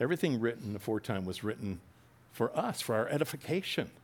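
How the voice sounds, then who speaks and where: A man talks with an American accent at a fairly quick pace. His pitch swings very widely. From New Jersey. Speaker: pastor. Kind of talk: sermon.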